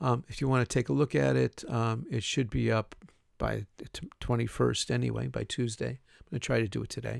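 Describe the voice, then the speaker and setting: A man speaks at a fairly quick pace with a Chicago accent. The sound is dry and close, with no echo. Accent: Chicago American English. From Chicago, US Midwest. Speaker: university English teacher. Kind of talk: recorded class introduction lecture. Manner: casual with many fillers and repetitions.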